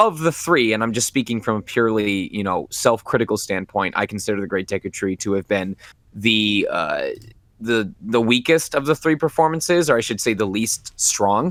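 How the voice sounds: A man is speaking at a moderate pace. His pitch sits in the medium range.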